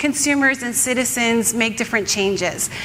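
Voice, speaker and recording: At a moderate pace, a woman with a high pitch speaks through audible room echo and noticeable background noise. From Canada. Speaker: author and ethical fashion advocate. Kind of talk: conference talk.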